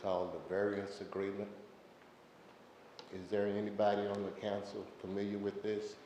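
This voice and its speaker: Audible room echo and noticeable background noise surround a man with a fairly low voice. He speaks at a moderate pace in a monotone, flat intonation. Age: 70s. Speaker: member of the public addressing city council. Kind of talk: public comment at council meeting.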